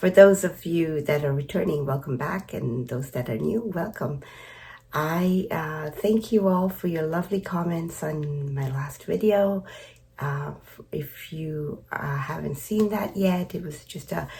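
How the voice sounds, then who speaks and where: A woman's very deep, low pitch with a dark, mellow tone, somewhat breathy, at a fairly slow pace with big swings in loudness. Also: ordinary pitch variation. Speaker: knitting vlogger. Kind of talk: casual vlog chat. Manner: halting, many fillers.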